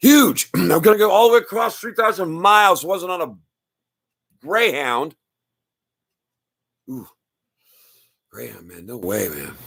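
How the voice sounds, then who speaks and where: Speaking at a fairly slow pace with long, frequent pauses, a man with a high pitch uses an animated tone, very wide pitch swings and big swings in loudness. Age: 60s. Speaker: live streamer. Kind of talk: casual monologue. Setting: live stream. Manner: animated, rambling with many restarts.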